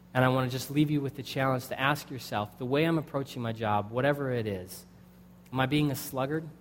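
Talking very fast with an American accent, a man speaks at a medium pitch with ordinary pitch variation and audible room echo. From United States. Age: 20s. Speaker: pastor. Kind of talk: sermon.

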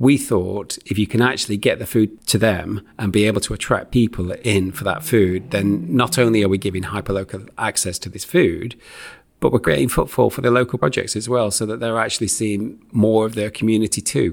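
Talking at a fairly quick pace with hardly any pauses, a man with a Lancashire accent uses a fairly low pitch and ordinary pitch variation. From northern England, Preston. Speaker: charity chief executive. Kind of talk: interview conversation.

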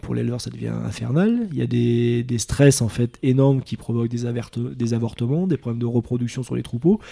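Barely pausing, a man speaks at a medium pitch and a fairly quick pace. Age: 30s. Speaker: dairy farmer. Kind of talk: casual interview. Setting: on the farm. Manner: hesitant, many fillers.

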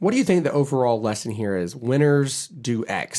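With an American accent and an unremarkable speaking voice, a man talks at a fairly high pitch with lively intonation. The recording is very clean, with a silent background. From Charleston, South Carolina. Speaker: podcast host, political consultant. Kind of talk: casual chat.

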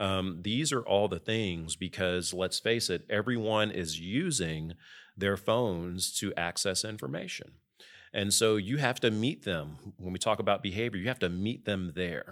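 In a normal speaking voice, a man talks at a fairly slow pace, fairly low in pitch, with ordinary pitch variation. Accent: American. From US South, Memphis, Tennessee. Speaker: startup firm president. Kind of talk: interview.

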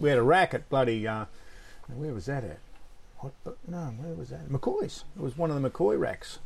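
A man with an Australian accent, medium in pitch, at a moderate pace with lively intonation, big swings in loudness and long, frequent pauses. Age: 70s. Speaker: surfboard shaper. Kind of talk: casual chat.

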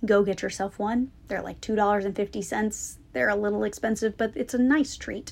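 This woman uses an unremarkable speaking voice at medium pitch, keeping a moderate pace and ordinary pitch variation. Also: hardly any pauses. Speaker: podcast host and business coach. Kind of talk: guided meditation. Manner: intimate and inviting, speaking directly to the listener.

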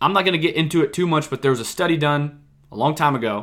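A man's fairly high voice, animated in tone, very fast in pace, with ordinary pitch variation. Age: 20s. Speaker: investing podcast host. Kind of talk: solo podcast monologue. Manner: animated, sometimes raised voice.

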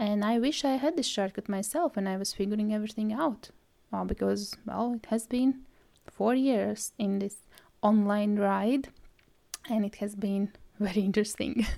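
A woman with a Latvian accent, at a fairly high pitch and moderate pace, with ordinary pitch variation. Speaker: podcast host, brand stylist. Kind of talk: solo podcast trailer, scripted-style intro.

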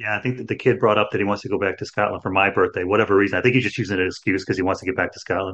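In an American accent, a man with a fairly low pitch talks at a very fast pace with hardly any pauses and fairly even intonation. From Chicago, US Midwest. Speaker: podcast host. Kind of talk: casual chat. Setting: video call.

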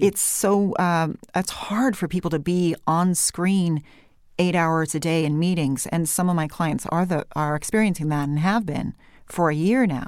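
Someone with a California Valley accent speaks at a fairly slow pace with ordinary pitch variation and very even loudness. The recording is very clean, with a silent background. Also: woman, fairly low pitch for a woman. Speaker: voice coach.

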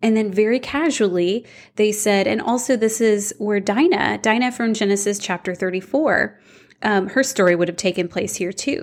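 A woman with a normal speaking voice talks at a moderate pace, her fairly high pitch moving with ordinary variation. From Houston, Texas. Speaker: Bible teacher and author. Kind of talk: interview.

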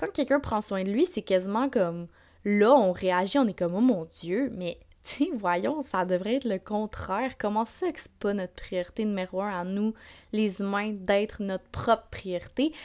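At a fairly slow pace, a woman with a Quebec accent speaks in an animated tone at medium pitch with ordinary pitch variation, on a very clean recording with a silent background. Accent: Québécois French. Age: 20s. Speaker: podcast host. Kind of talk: casual monologue.

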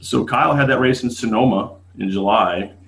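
Fairly low-pitched, with ordinary pitch variation, a man speaks with an American accent in a plain, everyday voice. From Las Vegas, US West. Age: 30s. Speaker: drag racer. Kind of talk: casual chat.

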